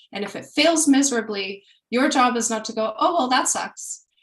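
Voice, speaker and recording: A woman talks with lively intonation. Her pitch sits fairly high. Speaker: product manager. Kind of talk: webinar talk.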